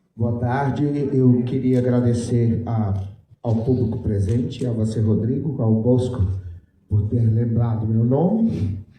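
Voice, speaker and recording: A man's somewhat breathy, dark, mellow voice at medium pitch, fairly slow in pace, with fairly even intonation, very even loudness, and audible room echo. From Brazil, Mato Grosso do Sul (Jardim). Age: 60s. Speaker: writer. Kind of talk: panel talk. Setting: stage with audience.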